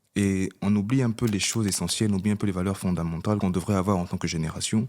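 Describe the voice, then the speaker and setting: Speaking very fast, a man keeps a fairly low pitch, fairly even intonation and very even loudness. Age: 20s. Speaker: podcast co-host. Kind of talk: casual chat.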